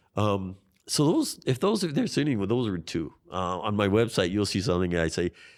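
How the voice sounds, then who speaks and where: In a Hawaiian accent, a man speaks at a fairly quick pace in a fairly low voice. The recording is very clean, with a silent background. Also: lively intonation. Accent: Hawaii local English. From Hawaii, Waianae (Oahu West Side). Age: 50s. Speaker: congressional candidate. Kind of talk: interview. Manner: animated.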